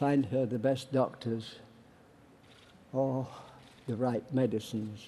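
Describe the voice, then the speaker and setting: In a Yorkshire accent, a man with a medium pitch and a dark, mellow tone speaks at a very slow pace with long, frequent pauses, and audible room echo. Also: fairly even intonation. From northern England, Barnsley, Yorkshire. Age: 90s. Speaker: war veteran and activist. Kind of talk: political speech. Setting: stage with audience.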